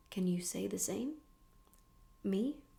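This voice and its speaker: Soft-spoken and calm in tone, a woman talks at a fairly slow pace. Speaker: ASMR creator. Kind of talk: soft-spoken audiobook-style reading. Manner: soft-spoken, calm, slow.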